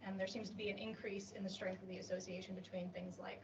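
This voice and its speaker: With an American accent and vocal fry, the speaker rushes along at a very fast pace amid audible room echo. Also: woman. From US Midwest, Illinois. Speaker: PhD researcher. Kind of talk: conference poster presentation. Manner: frequent fillers (um, uh).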